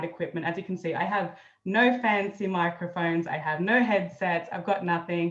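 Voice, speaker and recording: A woman's voice sits at a fairly low pitch. She speaks at a moderate pace. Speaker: marketing consultant and interview host. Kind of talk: interview. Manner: ad-libbing, informal.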